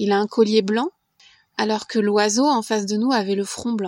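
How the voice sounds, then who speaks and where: In a plain, everyday voice, a woman talks at a fairly slow pace and a fairly high pitch, recorded with a dry, close sound and no echo. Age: 40s. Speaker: podcast volunteer. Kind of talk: scripted narration.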